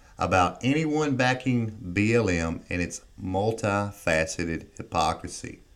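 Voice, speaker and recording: A man with a Southern US accent, fairly low pitch and lively intonation. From US South. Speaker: political commentator. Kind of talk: monologue.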